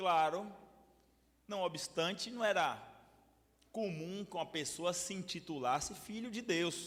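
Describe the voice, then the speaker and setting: A man's high-pitched voice, very slow, with long, frequent pauses and ordinary pitch variation. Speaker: pastor. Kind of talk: bible study lecture. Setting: church with audience. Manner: animated, hesitant repetitions.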